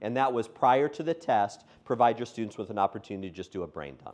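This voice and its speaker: A man's medium-pitched voice with lively intonation, against a quiet background. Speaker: education trainer. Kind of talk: workshop lecture. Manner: fast.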